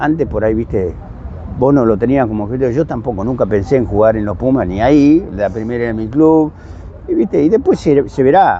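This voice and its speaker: Speaking with a Rioplatense accent, a man talks at a fairly quick pace and medium pitch with lively intonation over noticeable background noise. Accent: Argentine Rioplatense Spanish. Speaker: podcast host and former rugby international. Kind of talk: casual chat.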